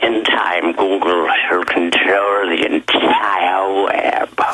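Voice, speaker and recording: A man's put-on character voice, fairly low in pitch and very slow in pace. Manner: menacing, ominous.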